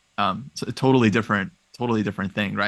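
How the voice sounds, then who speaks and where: A man talks at a very fast pace in a West Coast US accent. His pitch is fairly low and the background is quiet. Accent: General American, West Coast. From US West Coast, Los Angeles. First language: Russian. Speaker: chess professional. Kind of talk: interview.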